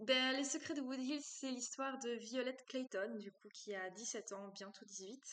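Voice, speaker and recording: A woman with a high pitch talks at a fairly slow pace with hardly any pauses, ordinary pitch variation and big swings in loudness. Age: 20s. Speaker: romance novelist. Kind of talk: interview. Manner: hesitant, many fillers.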